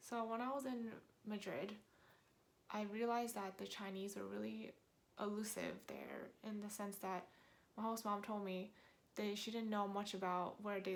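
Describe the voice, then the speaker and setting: A woman with an American accent speaks at a moderate pace and a medium pitch, her intonation fairly even. Long pauses come often, and the room echo is audible. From New York, US. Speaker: vlogger. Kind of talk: casual talk to camera. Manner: conversational with fillers.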